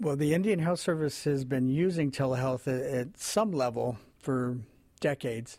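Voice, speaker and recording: A man with a fairly high pitch and a dark, mellow tone, very even loudness, on a very clean recording with a silent background. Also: ordinary pitch variation, moderate pace. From New Mexico, near Navajo Reservation. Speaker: health agency director. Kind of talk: interview. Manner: soft-spoken.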